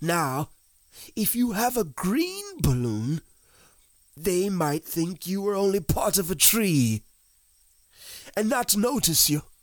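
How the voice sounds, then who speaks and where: A growling, put-on character voice sits at a middle pitch. It moves at a fairly slow pace with long, frequent pauses. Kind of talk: dramatized children's audiobook. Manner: slow, ponderous, earnest.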